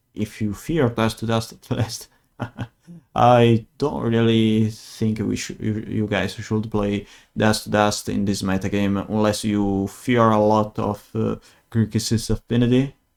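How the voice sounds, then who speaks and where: A man speaks fairly slowly in an Italian accent. His pitch is fairly low, with fairly even intonation. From Italy. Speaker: gaming video creator. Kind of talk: gameplay commentary. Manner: hesitant, many fillers.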